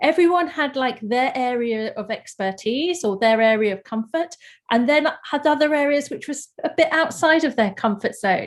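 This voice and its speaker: A woman with a high pitch speaks with lively intonation at a moderate pace, with hardly any pauses. The background is quiet. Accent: London. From London, England. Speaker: artist. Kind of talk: panel presentation. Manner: hesitant, many fillers.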